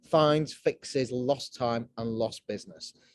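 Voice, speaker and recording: The speaker is male. His voice sounds dry and close-miked, free of any echo. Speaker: cyber security company director. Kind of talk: webinar presentation. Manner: fast.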